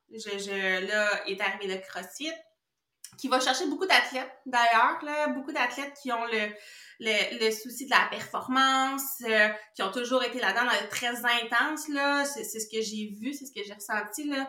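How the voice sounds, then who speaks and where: A woman's high voice at a fairly slow pace, with ordinary pitch variation and audible room echo. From Quebec. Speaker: kinesiologist. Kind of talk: casual interview chat. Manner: stutter.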